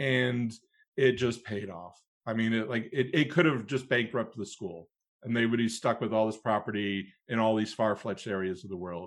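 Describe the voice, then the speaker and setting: In a very clean recording with a silent background, a man with an American accent speaks in an ordinary speaking voice at a moderate pace, with ordinary pitch variation. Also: medium pitch for a man. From US Midwest, Cleveland, Ohio. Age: 40s. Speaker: stage manager and professor. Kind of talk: interview conversation.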